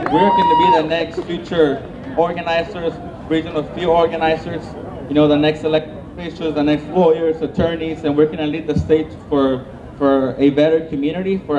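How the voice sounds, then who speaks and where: A man with a Spanish accent speaks at a fairly quick pace in a fairly high, monotone, flat voice, with audible room echo and noticeable background noise. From Mexico. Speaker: newly elected school board member. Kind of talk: victory speech. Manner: halting.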